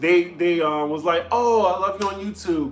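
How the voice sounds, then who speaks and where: A man talks with lively intonation in a slight New Orleans accent. Noticeable background noise runs underneath. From US South, New Orleans. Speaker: comedy vlogger. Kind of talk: live stream chat with viewers.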